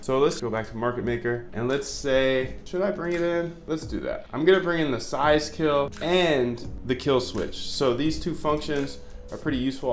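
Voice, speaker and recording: There is noticeable background noise and audible room echo. Through it, a man speaks with lively intonation. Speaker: algorithmic trading educator. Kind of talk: coding tutorial. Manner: casual, conversational.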